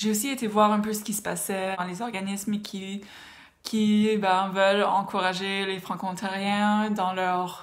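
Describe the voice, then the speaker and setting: Her intonation stays monotone and flat. This woman speaks at a very slow pace. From Ontario, Canada. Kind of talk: casual talk to camera.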